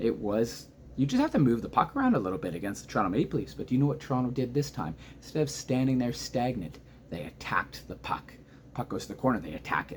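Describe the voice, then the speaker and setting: A man talks at a very fast pace in an animated, excited tone. Vocal fry comes through in his voice. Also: medium pitch for a man, lively intonation. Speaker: hockey fan commentator. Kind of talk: casual reaction video. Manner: quiet, subdued volume.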